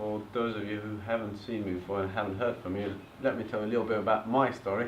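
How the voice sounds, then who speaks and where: There is audible room echo as a man with an Eastern European accent talks very fast in a monotone, flat intonation at a fairly low pitch. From eastern Bulgaria, Turkish family. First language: Turkish or Bulgarian. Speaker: property investor presenter. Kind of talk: seminar presentation.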